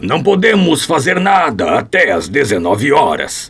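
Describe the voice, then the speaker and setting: A man puts on a raspy character voice. His pitch swings very widely. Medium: audio drama. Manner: assured, precise.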